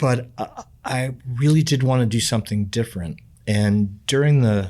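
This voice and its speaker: On a very clean recording with a silent background, a man with a dark, mellow tone speaks at a medium pitch and moderate pace with ordinary pitch variation. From New York City. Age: 60s. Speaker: professional musician. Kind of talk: podcast interview. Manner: talkative.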